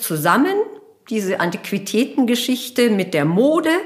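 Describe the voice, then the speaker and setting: A woman talks at a fairly slow pace with a fairly high pitch and vocal fry. Her pitch swings very widely. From Bavaria, Germany. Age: 50s. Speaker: fashion entrepreneur. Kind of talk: interview conversation. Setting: at her home.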